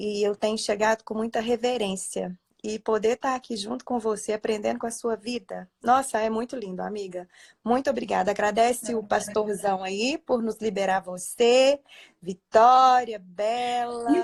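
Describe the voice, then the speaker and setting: Recorded very cleanly against a silent background, a woman's fairly high voice comes through dry and close with no echo at a moderate pace. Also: fairly even intonation. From Minas Gerais, Brazil. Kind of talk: religious live stream conversation. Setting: live stream from bedroom at home.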